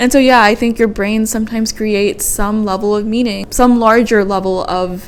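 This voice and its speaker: Noticeable background noise sits behind a woman's voice. She speaks at a fairly quick pace with fairly high pitch. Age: 20s. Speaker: podcast host. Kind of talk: casual solo podcast monologue. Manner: rambling, thoughts spilling out.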